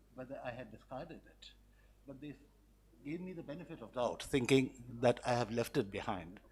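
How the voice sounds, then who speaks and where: Lively intonation marks a man's moderately paced speech, with noticeable background noise behind it. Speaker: conference speaker. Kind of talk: conference speech. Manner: halting.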